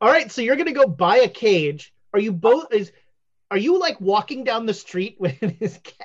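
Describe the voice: Nothing much sounds in the background. The clip is plain reading aloud.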